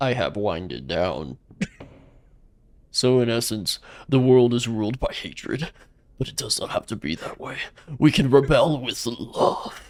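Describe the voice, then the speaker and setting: Using a put-on character voice, the speaker keeps a moderate pace broken by long, frequent pauses. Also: man, medium pitch for a man. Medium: game stream. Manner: sarcastic, overacted.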